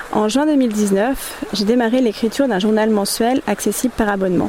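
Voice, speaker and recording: The woman has a fairly high pitch. Noticeable background noise runs behind her. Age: 30s. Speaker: interviewer, photographer and artist. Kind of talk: scripted introduction. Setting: outdoors by a river.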